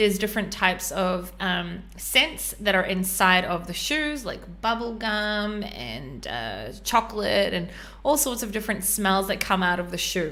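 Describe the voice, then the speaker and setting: A woman with a New Zealand accent speaks at a medium pitch in a bright, sharp tone, her lively intonation touched with vocal fry as she barely pauses, all over audible room echo. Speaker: e-commerce brand consultant. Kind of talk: tutorial. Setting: podcast with screen share. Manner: hesitant, many fillers.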